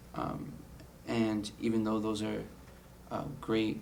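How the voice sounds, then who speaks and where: With ordinary pitch variation and an American accent, the voice carries audible room echo. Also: man. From US West Coast, San Diego, California. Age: 20s. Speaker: college student. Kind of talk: personal testimony interview. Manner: frequent fillers and repetitions.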